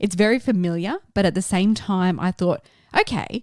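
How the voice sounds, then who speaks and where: The recording is dry and close, with no echo. A woman talks at medium pitch and a moderate pace. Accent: Australian. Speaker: film review podcast host. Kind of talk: casual film review chat.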